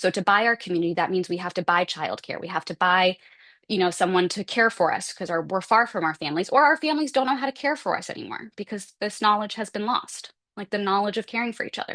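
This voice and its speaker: Over a quiet background, a woman talks very fast at medium pitch, her tone animated and her intonation lively. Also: dry, close sound with no echo. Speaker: symposium presenter. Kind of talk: conference talk. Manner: casual, animated.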